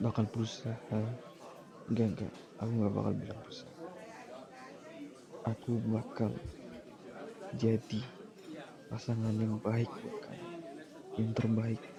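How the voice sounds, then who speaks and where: A man speaks at a fairly slow pace and a medium pitch, with fairly even intonation and long, frequent pauses. His loudness swings widely over crowd noise in the background. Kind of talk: ASMR boyfriend roleplay. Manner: soft-spoken, comforting.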